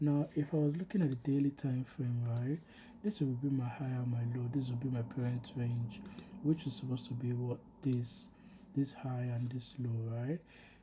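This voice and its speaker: The speaker is soft-spoken and moves at a moderate pace. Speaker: trading video creator. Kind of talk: screen-share trade recap. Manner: soft, low volume; halting, many fillers.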